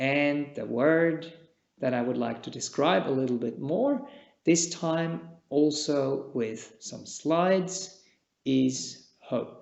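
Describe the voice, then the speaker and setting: This man speaks at a very slow pace with a Czech accent. His fairly high voice shows ordinary pitch variation. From Switzerland. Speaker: meditation teacher, Buddhist monk. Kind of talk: dharma talk. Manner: calm, measured.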